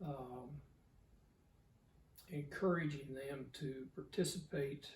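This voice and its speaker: A man with a fairly high pitch and a somewhat breathy voice, at a very slow pace and with ordinary pitch variation. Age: 70s. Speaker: cattle breeder. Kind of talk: interview. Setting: in person. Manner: halting, many fillers.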